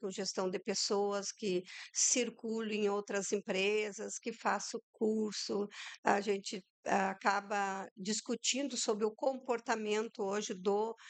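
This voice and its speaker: Against a quiet background, a woman speaks at a very slow pace with a fairly high pitch and fairly even intonation. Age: 60s. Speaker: entrepreneur, people management. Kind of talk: podcast interview.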